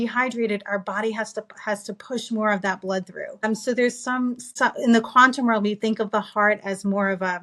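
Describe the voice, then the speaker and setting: The speaker has a New York accent and a bright, sharp tone. The pace is fairly quick and the intonation fairly even. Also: woman. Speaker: optometrist. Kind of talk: interview. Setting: podcast. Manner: fast.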